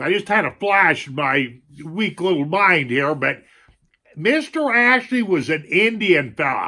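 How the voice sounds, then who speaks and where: Raised and projected, a man's bright, sharp voice moves at a fairly slow pace through very wide pitch swings. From northwestern Montana, US. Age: 60s. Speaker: Vietnam veteran YouTuber, storyteller. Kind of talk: oral storytelling, personal recollection. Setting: at home. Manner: casual, folksy.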